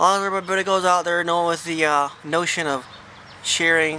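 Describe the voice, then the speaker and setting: Noticeable background noise sits behind a mumbling man. His pitch is fairly high and his intonation fairly even. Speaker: hunter. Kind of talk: gun review talk to camera.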